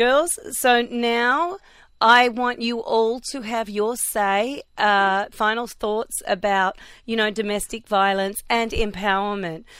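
On a very clean recording with a silent background, a woman with an Australian accent talks at a fairly high pitch and very slow pace, using ordinary pitch variation. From Australia (Melbourne). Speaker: radio host. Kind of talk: casual chat. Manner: animated.

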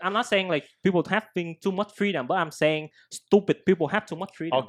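In a Vietnamese accent, a man talks at a fairly quick pace with a high pitch and ordinary pitch variation, the sound dry and close with no echo and the background quiet. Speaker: podcast co-host. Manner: casual, slangy.

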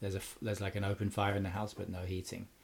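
A man with a southern English accent, fairly low in pitch, somewhat breathy, at a very fast pace. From Cambridge, England. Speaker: musician and mastering engineer. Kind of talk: casual interview chat.

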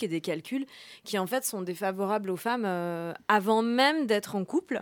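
A woman's normal speaking voice at medium pitch and moderate pace, on a very clean recording with a silent background. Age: 30s. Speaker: journalist and author. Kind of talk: radio interview. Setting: studio.

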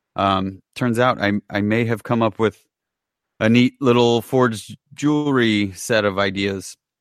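An ordinary speaking voice at a fairly slow pace, fairly even in intonation, with a dry, close sound and no echo. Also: man, medium pitch for a man, very even loudness, very clean recording, silent background. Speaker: podcast host. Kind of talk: casual chat.

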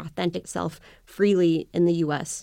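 A woman's unremarkable speaking voice, fairly low in pitch with ordinary pitch variation, on a very clean recording with a silent background. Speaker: immigration attorney. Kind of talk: interview. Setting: radio interview.

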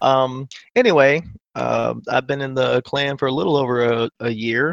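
A man with a medium pitch talks at a moderate pace in an unremarkable speaking voice. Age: 30s. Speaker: gamer and navy veteran. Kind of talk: casual chat.

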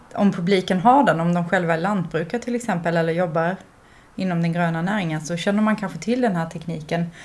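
Her pitch sits at a medium level. This woman keeps a fairly even intonation. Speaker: curator. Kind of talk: casual chat. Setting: at the artist's home.

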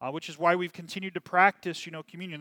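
The sound is dry and close with no echo as a man speaks with an American accent. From US Midwest, Kansas City. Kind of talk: sermon. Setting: church, livestreamed service. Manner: halting, many fillers.

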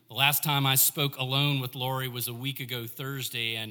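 Intonation here is fairly even. The text is read aloud in a natural voice.

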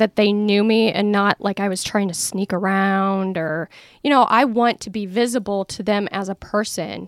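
A woman with an American accent speaks at a moderate pace and medium pitch, in an ordinary speaking voice. The recording is very clean and silent behind her, with a dry, close sound and no echo. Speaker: tiny house owner. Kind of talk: casual interview.

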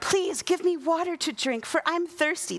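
Over light background noise, a woman does a put-on character voice at an extremely high pitch, with ordinary pitch variation and a moderate pace.

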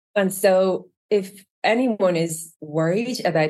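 Her voice sits fairly low for a woman, with ordinary pitch variation. She speaks with an Irish accent. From Ireland (Trim, County Meath). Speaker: user experience design lead. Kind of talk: casual interview.

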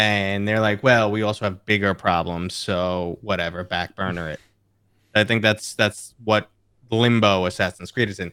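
At a moderate pace, a man with an American accent and a bright, sharp tone speaks at a fairly low pitch with fairly even intonation. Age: 40s. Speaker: VR YouTuber. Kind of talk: casual chat. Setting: video call.

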